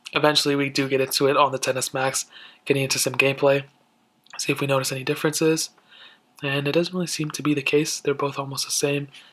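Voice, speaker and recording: This man speaks very fast in a fairly high, flat monotone, broken by long, frequent pauses. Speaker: tech reviewer. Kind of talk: product comparison review. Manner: casual, conversational.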